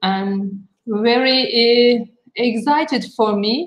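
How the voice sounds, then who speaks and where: A woman's high voice with a Turkish accent, at a very slow pace and with fairly even intonation. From Turkey, Istanbul. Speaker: architect. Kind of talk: panel talk. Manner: halting.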